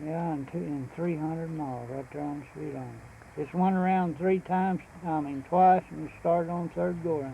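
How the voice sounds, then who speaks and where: A man with a Texan accent at a moderate pace, over noticeable background noise. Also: fairly high pitch for a man, fairly even intonation. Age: 70s; old. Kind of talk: casual interview answer.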